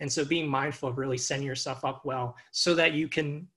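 A man in an American accent with a plain, everyday voice, fairly high pitch and fairly even intonation, on a very clean recording with a silent background. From Long Island, New York. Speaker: doctoral student. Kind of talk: panel talk.

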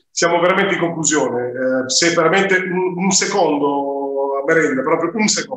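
Amid light background noise and audible room echo, a high-pitched man talks with hardly any pauses and very even loudness. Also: ordinary pitch variation, moderate pace. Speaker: web show host. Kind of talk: interview. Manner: hesitant, many fillers. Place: home room. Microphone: video call.

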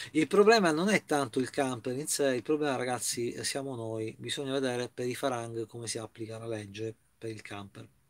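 A man talks at a fairly quick pace with ordinary pitch variation. His loudness swings widely. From Italy. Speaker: YouTuber. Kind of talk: casual vlog news commentary. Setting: inside a camper van. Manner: hesitant, filler-heavy. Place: home room. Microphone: webcam.

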